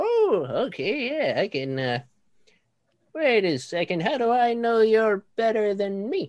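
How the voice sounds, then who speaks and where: Someone uses a put-on character voice with very wide pitch swings at a fairly slow pace. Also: woman, fairly high pitch for a woman. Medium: actual play. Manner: folksy, sly.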